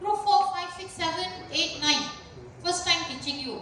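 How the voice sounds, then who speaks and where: A woman projects her raised voice at a moderate pace with lively intonation, amid audible room echo and noticeable background noise. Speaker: university lecturer. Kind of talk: lecture. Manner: loud.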